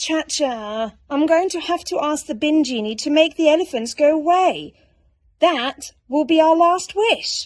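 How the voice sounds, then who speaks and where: A woman puts on a character voice and pitches it high. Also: moderate pace. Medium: read story. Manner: earnest and fussy.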